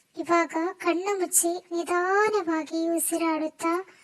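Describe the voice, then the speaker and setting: This is a woman's voice. Its pitch is extremely high. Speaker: ASMR content creator. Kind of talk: whispered ASMR sleep relaxation.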